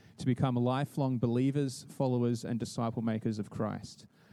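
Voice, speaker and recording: Against a quiet background, a man talks at a medium pitch with a dark, mellow tone. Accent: Australian. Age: 30s. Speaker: youth pastor. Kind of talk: church presentation. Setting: stage with audience.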